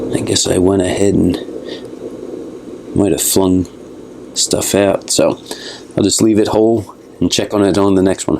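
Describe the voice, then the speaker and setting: With a relaxed tone and fairly low pitch, a man speaks at a moderate pace in a monotone, flat intonation, leaving long, frequent pauses, keeping very even loudness over noticeable background noise. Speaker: gardening youtuber. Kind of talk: casual tutorial vlog. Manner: relaxed, casual.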